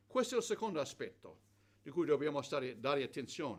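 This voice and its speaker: A man's voice with vocal fry. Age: 70s. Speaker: preacher. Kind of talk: sermon. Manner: halting with repetitions.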